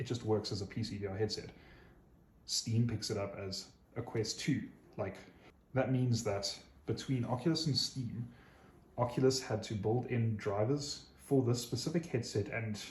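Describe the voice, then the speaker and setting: A man's somewhat breathy, medium-pitched voice with ordinary pitch variation, an enthusiastic tone, a moderate pace, and long, frequent pauses. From South Africa. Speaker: tech YouTuber. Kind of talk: casual tech review monologue. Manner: casual, enthusiastic.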